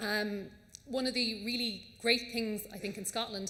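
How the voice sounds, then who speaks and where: This is a woman speaking. She has an Irish accent. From Ireland. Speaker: audience member, environmental charity staff. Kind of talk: question from the floor. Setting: conference hall, audience microphone.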